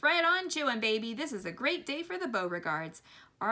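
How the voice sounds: The recording features a natural reading voice.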